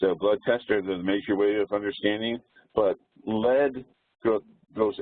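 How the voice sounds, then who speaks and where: The speaker is a man. He has an American accent. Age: 60s. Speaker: community presenter. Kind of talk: webinar presentation. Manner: halting, many fillers.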